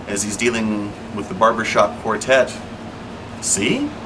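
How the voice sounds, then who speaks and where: Noticeable background noise sits behind a man talking at a medium pitch. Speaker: podcast host. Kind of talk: unscripted spoken monologue. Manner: occasional filler words.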